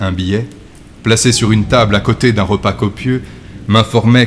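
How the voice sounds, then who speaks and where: There is noticeable background noise as a man speaks. His tone is theatrical, his intonation fairly even. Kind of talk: dramatic first-person gothic narration, read aloud as a story. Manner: slow, suspenseful, theatrical, hushed and ominous; formal literary diction, gradually building to breathless, feverish intensity.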